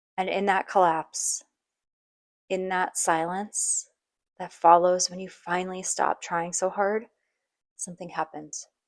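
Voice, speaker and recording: A woman speaks at a fairly slow pace in a monotone, flat intonation, with long, frequent pauses. The sound is dry and close, with no echo. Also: medium pitch for a woman. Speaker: podcast host. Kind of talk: personal podcast monologue. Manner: soft, reflective.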